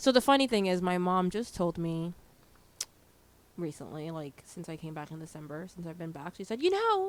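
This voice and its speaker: Speaking in a New Jersey accent, a woman has a fairly low pitch with ordinary variation and big swings in loudness. Her pace is moderate. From New Jersey, Hudson County (early childhood in Haiti). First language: Haitian Creole. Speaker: DJ and radio host. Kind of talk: casual chat. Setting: video interview.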